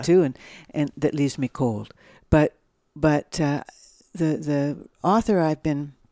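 Speaking at a fairly slow pace with long, frequent pauses, a woman with a Canadian accent and a very deep, low pitch has a dark, mellow tone, heard as a dry sound with no echo over a quiet background. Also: ordinary pitch variation. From Ontario, Canada. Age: 60s. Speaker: novelist; interviewee. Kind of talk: interview answer. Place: home room.

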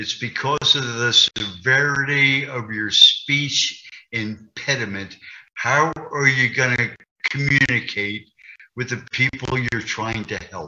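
Speaking at a very slow pace, a man swings widely in loudness. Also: ordinary pitch variation. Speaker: interviewee. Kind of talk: interview answer. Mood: earnest, emotional personal story. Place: home room. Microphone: video call.

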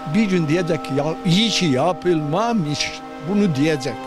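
A man talks with a fairly high pitch over clear background music. The sound is dry with no echo. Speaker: environmental activist. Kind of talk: interview answer. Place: waterside. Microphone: handheld.

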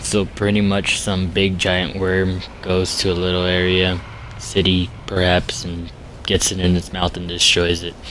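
A man with a very deep, low voice talks at a fairly slow pace in a monotone, flat intonation, with noticeable background noise behind him. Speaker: video game player. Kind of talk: casual gameplay tutorial narration. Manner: casual, hesitant with fillers.

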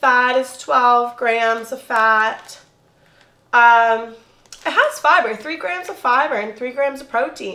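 A woman speaks in a raised, projected voice with a high pitch and an animated tone. Her tone is bright and sharp, her pace fairly slow. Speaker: food reviewer YouTuber. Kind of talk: casual food review vlog. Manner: chatty, animated. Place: home room. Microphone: camera far.

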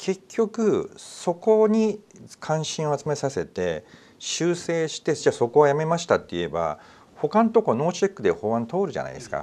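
His volume rises and falls sharply. The man keeps to a moderate tempo. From Japan. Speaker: news talk show host. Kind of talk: casual discussion. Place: studio. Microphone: lapel.

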